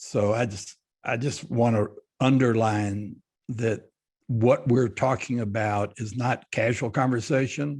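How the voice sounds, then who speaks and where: Against a quiet background, the somewhat breathy voice moves at a fairly slow pace with fairly even intonation. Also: man. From Texas, Fort Worth. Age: 80s+. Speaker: business leader. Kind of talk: panel interview. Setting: video call.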